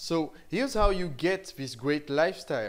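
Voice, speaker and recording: A man with a high voice speaks in a French accent at a fairly slow pace. His pitch swings very widely. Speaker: online marketing teacher. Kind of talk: tutorial.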